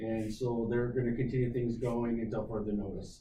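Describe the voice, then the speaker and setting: A man talks at a fairly quick pace with a medium pitch. The room echo is audible. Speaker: county emergency manager. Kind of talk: committee meeting report. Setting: county committee meeting.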